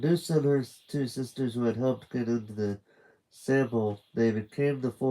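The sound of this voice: The speaker reads in an unforced reading voice.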